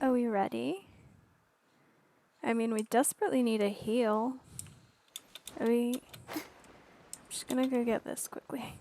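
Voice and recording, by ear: At a fairly slow pace with long, frequent pauses, a woman speaks in a fairly high pitch and a dark, mellow tone, with ordinary pitch variation and a dry, close sound with no echo.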